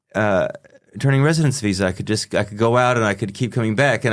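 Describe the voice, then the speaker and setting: The recording is very clean with a silent background. A man with an American accent and a fairly low pitch speaks with lively intonation. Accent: still very American after 30 years. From US, Pennsylvania. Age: 50s. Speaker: psychotherapist. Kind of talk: casual interview chat. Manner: halting, many repetitions and fillers.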